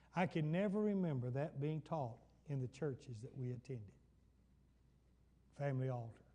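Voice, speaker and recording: Long, frequent pauses break up a man's somewhat breathy speech. His fairly high pitch carries a dark, mellow tone and lively intonation. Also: moderate pace. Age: 70s. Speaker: pastor. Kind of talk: Bible study sermon. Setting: church.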